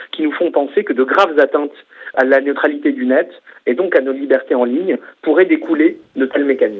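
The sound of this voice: With a slightly husky edge, a man speaks in a fairly high voice with ordinary pitch variation.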